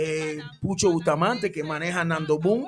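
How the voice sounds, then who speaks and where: Music plays in the background as this man speaks at a moderate pace. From Panama, former Canal Zone. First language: English (speaking Spanish). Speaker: tropical urban music singer. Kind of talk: casual interview chat. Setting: radio studio.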